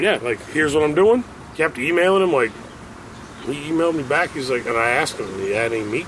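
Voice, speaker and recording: Very fast man with an American accent, very wide pitch swings and noticeable background noise. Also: fairly high pitch for a man. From US Midwest, Cincinnati area (Forest Park, Ohio). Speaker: musician. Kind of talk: casual chat.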